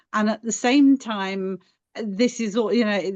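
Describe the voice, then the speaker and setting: In an English accent, a woman with a medium pitch talks at a fairly slow pace with fairly even intonation. The sound is dry and close with no echo, over a quiet background. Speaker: paddling club member. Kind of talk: webinar Q&A.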